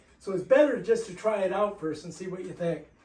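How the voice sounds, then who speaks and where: With noticeable background noise around it, the talking goes at a fairly quick pace. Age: 60s. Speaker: product reviewer. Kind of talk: product assembly and demo video.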